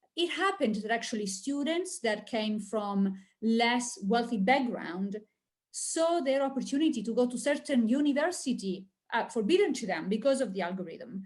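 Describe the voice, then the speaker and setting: Lively intonation from a woman with a fairly high pitch, at a moderate pace. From Italy. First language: Italian. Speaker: industry analyst. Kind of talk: webinar presentation. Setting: online webinar.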